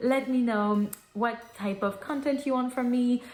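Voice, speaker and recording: There is noticeable background noise as a woman talks with a French accent. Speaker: book vlogger. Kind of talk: casual chat.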